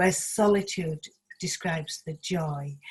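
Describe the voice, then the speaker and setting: A woman speaks with a Leeds accent. Her pitch varies in an ordinary way. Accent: Yorkshire (Leeds) English. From northern England, South Leeds. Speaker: community project speaker. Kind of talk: online talk with presentation. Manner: loud. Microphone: sound problems, speaking loudly close to mic.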